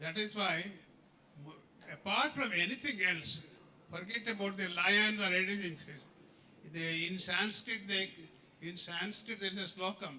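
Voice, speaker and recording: A man's raised, projected voice, high in pitch with ordinary pitch variation, at a moderate pace amid noticeable background noise. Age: 90s. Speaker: former health minister and doctor. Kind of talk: speech at a celebration. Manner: halting.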